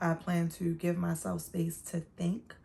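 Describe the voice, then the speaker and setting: This woman's voice is somewhat breathy. Its pitch is fairly low. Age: 30s. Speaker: lifestyle vlogger. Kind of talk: casual talk to camera.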